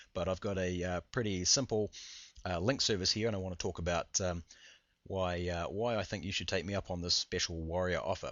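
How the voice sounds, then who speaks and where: A man puts on a character voice that is raspy and very deep. He talks at a fairly quick pace with fairly even intonation. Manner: fast-talking.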